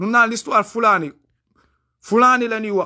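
A man's extremely high, bright and sharp voice, raised and projected, at a moderate pace with ordinary pitch variation against a quiet background. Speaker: YouTube commentator. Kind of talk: live monologue. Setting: livestream. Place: home room. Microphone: phone near.

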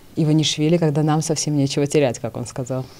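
Her very deep, low pitch gives this woman a dark, mellow tone. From Georgia. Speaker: TV news host. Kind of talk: TV interview. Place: studio. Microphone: studio mic.

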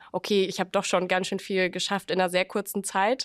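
The woman talks at a fairly quick pace in a flat monotone. The background is quiet. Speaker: podcast host. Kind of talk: casual interview. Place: meeting room. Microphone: studio mic.

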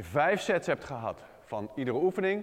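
The setting is quiet. A man does the talking. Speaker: fitness trainer. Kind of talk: tutorial. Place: gym.

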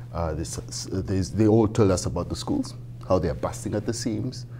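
Music in the background under a man's very deep, low voice at a moderate pace. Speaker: city council candidate. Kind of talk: interview answer. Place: studio. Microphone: lapel.

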